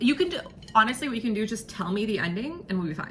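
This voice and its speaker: An animated woman's voice against noticeable background noise. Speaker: vlogger. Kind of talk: casual vlog monologue. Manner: halting, repeats and trips over words.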